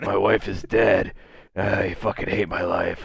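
A man puts on a raspy character voice at a fairly slow pace. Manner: edgy, brooding.

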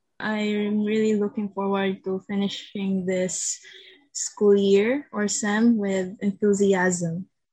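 A woman speaks at a very slow pace in a Visayan Filipino accent. Her medium pitch stays monotone and flat. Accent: Filipino (Cebuano) English. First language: Cebuano. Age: 20s. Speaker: university student. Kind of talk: casual chat.

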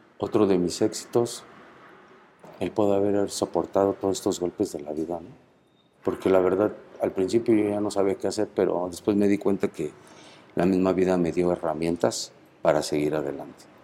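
A man's very deep, low voice, dark and mellow, at a moderate pace with fairly even intonation and long, frequent pauses, on a very clean recording with a silent background. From Mexico City. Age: 50s. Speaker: prison inmate. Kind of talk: interview.

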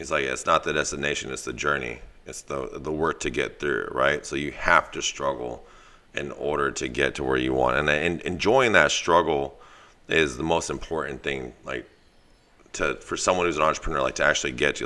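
On a very clean recording with a silent background, a man with an American accent speaks at a fairly quick pace with a very deep, low pitch, a bright, sharp tone, vocal fry and fairly even intonation. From US West Coast, East Side San Jose. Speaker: dog trainer and business owner. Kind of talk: casual chat. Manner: rambling with many fillers.

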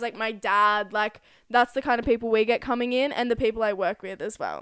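In an Australian accent, a woman speaks at a high pitch. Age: 20s. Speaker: podcast co-host. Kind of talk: casual chat.

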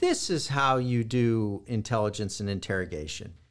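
Here a man speaks at a fairly slow pace in a Californian accent. The recording is very clean, with a silent background. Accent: General American (Californian). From US West Coast (Los Angeles). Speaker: historian and war crimes investigator. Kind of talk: interview.

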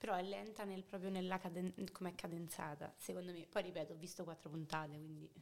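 A normal speaking voice at a fairly quick pace, with hardly any pauses. The intonation stays fairly even. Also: woman, fairly low pitch for a woman. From Rome, Italy. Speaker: podcast guest. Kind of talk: casual chat.

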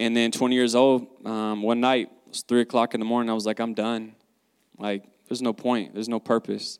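Speaking at a fairly quick pace with a Southern US accent, a man swings widely in loudness, captured in a dry, close sound with no echo. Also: medium pitch for a man. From US South, North Carolina. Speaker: guest sharing faith testimony. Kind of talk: testimony. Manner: animated.

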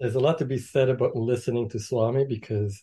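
At a moderate pace over a quiet background, a man speaks at a medium pitch in a somewhat breathy, dark, mellow tone with ordinary pitch variation. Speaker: meditation practitioner. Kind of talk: casual chat; spiritual talk.

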